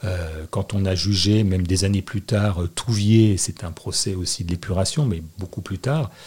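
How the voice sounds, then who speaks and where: A man with a very deep, low voice speaks somewhat breathily at a fairly slow pace. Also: ordinary pitch variation, hardly any pauses. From Annecy, Haute-Savoie, France. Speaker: public prosecutor. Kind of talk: interview.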